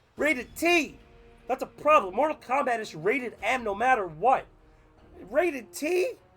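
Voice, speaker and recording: Over music in the background, a man speaks at a moderate pace with an extremely high pitch, very wide pitch swings and long, frequent pauses. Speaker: video game reviewer. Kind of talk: casual gameplay review. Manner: casual, filler-heavy.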